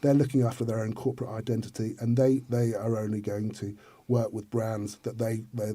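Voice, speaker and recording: Somewhat breathy and dark, mellow in tone, a man's medium-pitched voice holds a monotone, flat intonation. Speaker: influencer marketing specialist. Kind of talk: interview. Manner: fast; halting, many repetitions.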